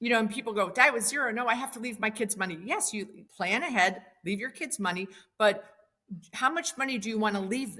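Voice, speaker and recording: A woman with an American accent speaks very fast in a fairly high pitch, her tone bright and sharp. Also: ordinary pitch variation. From Wisconsin. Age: 60s. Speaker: commercial real estate investor. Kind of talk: podcast interview.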